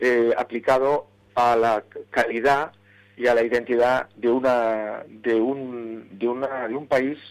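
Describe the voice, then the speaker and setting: The man's intonation stays monotone and flat. He talks at a very slow pace. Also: medium pitch for a man. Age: 70s. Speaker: motorsport promoter. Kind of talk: radio interview.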